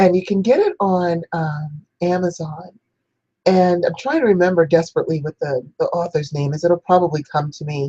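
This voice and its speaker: At a moderate pace, a somewhat breathy voice with a dark, mellow tone and ordinary pitch variation comes through with a dry, close sound and no echo. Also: woman, fairly low pitch for a woman. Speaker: spiritual teacher, priestess show host. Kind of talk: spiritual instruction talk.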